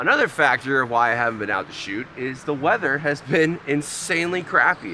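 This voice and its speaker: A loud man at a fairly quick pace, medium pitch and lively intonation, with noticeable background noise. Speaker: amateur landscape photographer, vlogger. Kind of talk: outdoor vlog. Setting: outdoors by waterfall. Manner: casual.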